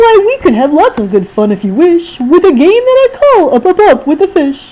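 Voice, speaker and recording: A woman does a squeaky put-on character voice at an extremely high pitch, with very wide pitch swings. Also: moderate pace. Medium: read story. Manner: boastful, playful.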